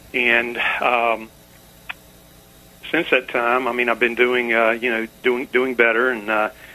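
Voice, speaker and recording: Over noticeable background noise, a man with a medium pitch speaks at a fairly slow pace in a monotone, flat intonation, leaving long, frequent pauses. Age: 60s. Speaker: caller. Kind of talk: radio call-in. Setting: phone call. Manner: hesitant, many fillers.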